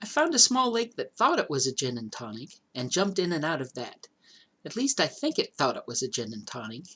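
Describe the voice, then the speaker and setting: Putting on a character voice, a man speaks breathily at a high pitch and a fairly quick pace. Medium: read story. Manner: airy, offhand.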